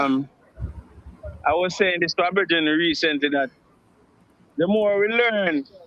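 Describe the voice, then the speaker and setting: A man with a high pitch and ordinary pitch variation speaks at a fairly slow pace, leaving long, frequent pauses. His loudness stays very even over noticeable background noise. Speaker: radio show guest. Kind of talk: live radio interview answer. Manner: hesitant, reflective.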